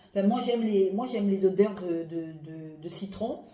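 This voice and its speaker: Over noticeable background noise, a woman speaks at a moderate pace. Her tone is animated and her intonation lively. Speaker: perfume reviewer. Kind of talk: casual product review vlog. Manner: animated, hesitant with many fillers.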